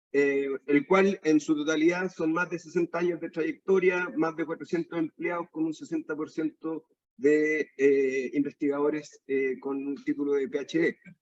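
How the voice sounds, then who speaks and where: A man with a normal speaking voice, pitched fairly high, talks with hardly any pauses and fairly even intonation in a dry, close sound with no echo. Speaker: aquaculture researcher. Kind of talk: lecture.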